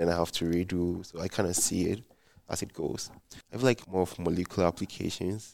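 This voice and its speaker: Speaking at a fairly quick pace in a Ghanaian accent, a man uses a very deep, low pitch and fairly even intonation. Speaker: PhD student. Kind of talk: podcast interview.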